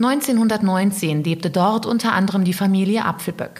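A woman's medium-pitched, somewhat breathy voice at a fairly slow pace, with a serious tone and ordinary pitch variation. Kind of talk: true-crime narration. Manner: serious, measured storytelling pace; dramatic, suspenseful.

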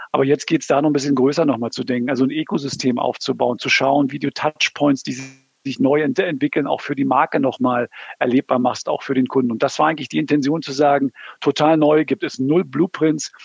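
A man with an ordinary speaking voice talks at a fairly quick pace and fairly high pitch, his intonation fairly even. The sound is dry and close, with no echo. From Berlin. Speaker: automotive project manager. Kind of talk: interview. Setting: remote call.

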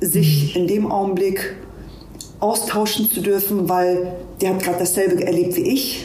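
A woman of medium pitch talks at a moderate pace with fairly even intonation, amid audible room echo and noticeable background noise. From Hamburg, Germany. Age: 40s. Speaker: police officer. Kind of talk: interview.

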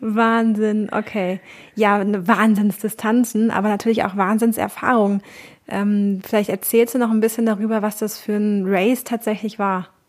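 Her intonation stays monotone and flat. The woman's pitch is fairly high. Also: moderate pace. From Cologne, western Germany. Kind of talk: interview.

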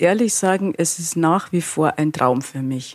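A woman speaks at a moderate pace. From Bavaria, Altötting district. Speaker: innkeeper and fashion designer. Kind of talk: interview.

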